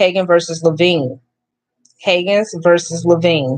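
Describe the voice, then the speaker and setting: Music plays in the background as a woman with a fairly low pitch speaks at a fairly slow pace, with ordinary pitch variation. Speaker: live streamer. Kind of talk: reading aloud a legal filing. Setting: livestream. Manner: stuttering; halting.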